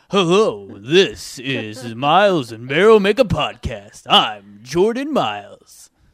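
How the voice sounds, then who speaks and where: A man puts on a character voice with a dramatic tone and a fairly high pitch, swinging very widely in pitch and broadly in loudness. He goes at a fairly slow pace with hardly any pauses. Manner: dramatic, gruff.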